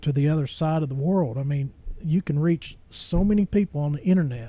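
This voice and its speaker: His voice is fairly high-pitched for a man, somewhat breathy and dark and mellow in tone, with ordinary pitch variation. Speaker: church webcaster and Bible study teacher. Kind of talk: casual monologue to camera. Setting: home studio with camera and soundboard. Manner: slow with many pauses and fillers; halting.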